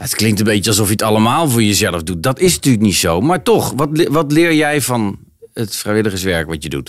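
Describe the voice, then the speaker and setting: The speaker is a man at a moderate pace. His voice moves through very wide pitch swings. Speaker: mayor hosting podcast. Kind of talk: casual interview. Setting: community centre.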